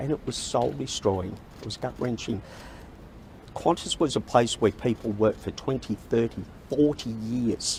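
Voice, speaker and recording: A man with an Australian accent speaks at a moderate pace, his medium pitch showing ordinary variation. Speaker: sacked baggage handler speaking at press conference. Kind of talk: press conference statement. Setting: press conference at Parliament House.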